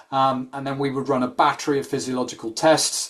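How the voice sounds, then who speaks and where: A man speaks with a British accent at a medium pitch. His pace is moderate. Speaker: sports nutrition scientist. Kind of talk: expert talk in a webinar. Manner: hesitant with many ums.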